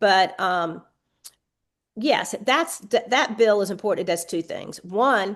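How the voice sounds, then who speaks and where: Against a quiet background, a woman with a Southern US accent talks with vocal fry and ordinary pitch variation. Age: 60s. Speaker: state legislator. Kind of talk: podcast interview.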